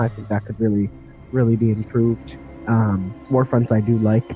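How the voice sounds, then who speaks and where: There is music in the background. A man speaks at a fairly quick pace with a medium pitch. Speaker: gaming content creator, podcast guest. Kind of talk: interview answer.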